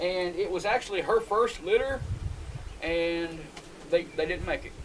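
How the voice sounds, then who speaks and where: Shouting loudly in a high pitch, a man with a Southern US accent speaks at a fairly slow pace. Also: ordinary pitch variation. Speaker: homesteader. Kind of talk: casual video tour. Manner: loud, yelling for camera.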